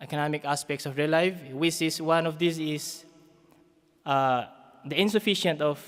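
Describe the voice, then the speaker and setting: A man with a Philippine accent, at a moderate pace and fairly high pitch, with long, frequent pauses. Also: fairly even intonation. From Philippines, Isabela/Cagayan region. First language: Ibanag. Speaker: community development worker. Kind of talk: conference talk. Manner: halting.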